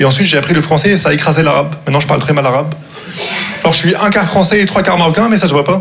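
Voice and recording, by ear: Very fast speech with vocal fry and a fairly bright tone shows ordinary pitch variation against audible room echo. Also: man, fairly high pitch for a man.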